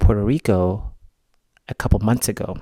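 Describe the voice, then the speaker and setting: A man with a Malawian accent is heard in a very clean recording with a silent background and a dry, close sound with no echo. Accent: non-American, Malawian. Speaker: vlogger. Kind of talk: personal vlog monologue.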